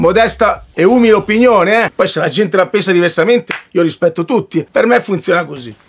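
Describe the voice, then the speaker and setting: A man's high voice at a fairly quick pace, with ordinary pitch variation and hardly any pauses. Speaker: internet personality. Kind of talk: casual chat. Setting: live stream.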